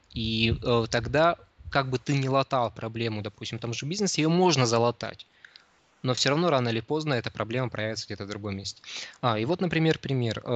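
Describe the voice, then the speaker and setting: A man's medium-pitched voice at a fairly quick pace, with ordinary pitch variation and long, frequent pauses. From Siberia, Krasnoyarsk. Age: 20s. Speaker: psychologist. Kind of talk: interview. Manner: halting, many fillers.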